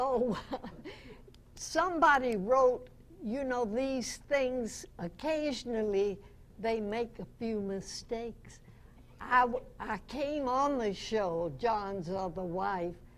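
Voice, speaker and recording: A woman talks at a very slow pace in a fairly high pitch with lively intonation. Room echo is audible. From US South. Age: 90s. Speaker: radio actress. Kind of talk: interview.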